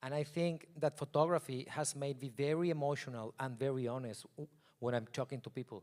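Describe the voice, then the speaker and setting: A man with a non-native accent speaks at a fairly quick pace, his pitch fairly high and his intonation fairly even. The recording is very clean with a silent background, and the sound is dry and close with no echo. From Mexico. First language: Spanish. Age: 40s. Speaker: photographer. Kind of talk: keynote talk.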